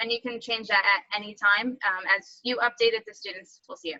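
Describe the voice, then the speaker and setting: At a fairly quick pace, a woman speaks at a medium pitch with fairly even intonation. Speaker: teacher. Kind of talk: tutorial. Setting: video call. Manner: fast.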